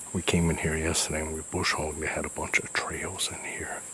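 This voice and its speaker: A man's very deep, low voice, monotone and flat, at a moderate pace, dry with no echo, over light background noise. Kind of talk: casual vlog chat. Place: forest. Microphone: phone near.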